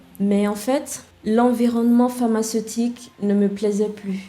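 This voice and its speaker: Through noticeable background noise and audible room echo, a woman speaks very slowly at a fairly high pitch with fairly even intonation. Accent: English. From Nigeria. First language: English (speaking French). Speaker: web developer and founder. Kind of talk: podcast interview.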